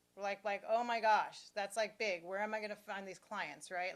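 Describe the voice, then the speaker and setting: At a moderate pace, a woman speaks in a normal speaking voice, fairly high in pitch with ordinary pitch variation. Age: 60s. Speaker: business coach. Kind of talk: interview.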